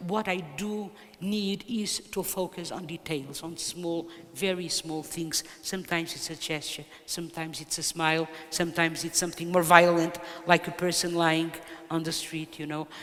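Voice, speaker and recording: Against noticeable background noise, someone with a Portuguese accent speaks at a moderate pace in a monotone, flat intonation. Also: woman, fairly low pitch for a woman. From Portugal. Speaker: poet. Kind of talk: interview. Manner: halting.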